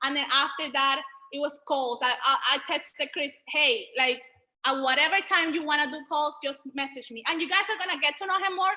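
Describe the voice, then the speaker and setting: A woman's raised, projected voice, high-pitched and animated, with a bright, sharp tone, ordinary pitch variation and a moderate pace. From Venezuela. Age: 20s. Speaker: online business educator. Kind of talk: group video call presentation.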